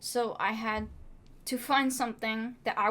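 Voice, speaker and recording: A woman's fairly high, bright, sharp voice with vocal fry, on a very clean recording with a silent background. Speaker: film student. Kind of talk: reflective class vlog. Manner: stutter.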